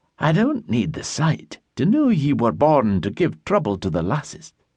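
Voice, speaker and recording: A man's put-on, cackling character voice at a fairly high pitch and a moderate pace, over a quiet background. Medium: read story. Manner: earthy, cackling.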